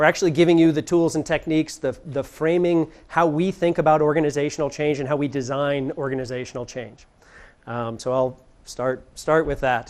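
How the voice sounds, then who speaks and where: A man speaks at a fairly quick pace with a fairly high pitch against a quiet background. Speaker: design consultant giving a workshop talk. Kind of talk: presentation to live audience. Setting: venue with live audience. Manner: energetic, tends to speak fast.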